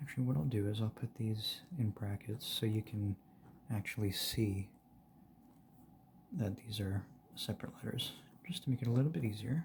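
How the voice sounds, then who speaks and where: A soft-spoken man talks in a relaxed tone with a somewhat breathy voice, ordinary pitch variation, and long, frequent pauses. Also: medium pitch for a man, moderate pace. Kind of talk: ASMR soft-spoken ramble. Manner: soft-spoken, relaxed.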